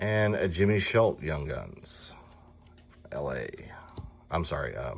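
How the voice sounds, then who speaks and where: There is audible room echo as a man with a Southern US accent speaks at a very slow pace, leaving long, frequent pauses. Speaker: sports card collector, box break host. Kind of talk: casual card-opening commentary. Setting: card and gaming shop.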